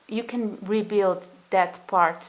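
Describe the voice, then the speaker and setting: With a non-native accent, a woman speaks in a fairly even intonation. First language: not English. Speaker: tarot reader. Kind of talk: tarot reading monologue. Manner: halting, many fillers; gentle, soothing.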